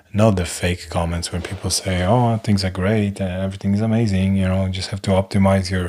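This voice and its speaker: This man has a non-native accent and a very deep, low pitch. He talks at a fairly quick pace with fairly even intonation. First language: not English. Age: 40s. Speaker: live stream host. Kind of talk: casual monologue. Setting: live stream. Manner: hesitant, filler-heavy.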